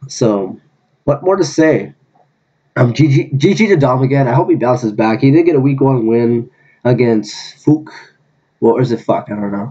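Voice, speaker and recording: This man has a medium pitch and a dark, mellow tone, speaking at a moderate pace with ordinary pitch variation. He leaves long, frequent pauses. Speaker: gaming YouTuber. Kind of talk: casual commentary. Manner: stuttering.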